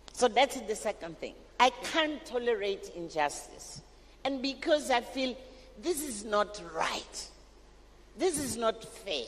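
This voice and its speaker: The voice moves at a very slow pace with very wide pitch swings and long, frequent pauses, over noticeable background noise. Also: woman, high pitch for a woman. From Africa. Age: 70s. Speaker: education advocate. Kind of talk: panel discussion.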